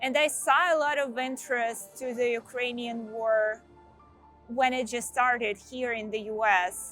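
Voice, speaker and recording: Music plays in the background as a woman speaks with a Russian accent. Her pitch is fairly high, her pace fairly slow and her intonation fairly even. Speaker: senior product manager. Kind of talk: casual talk to camera.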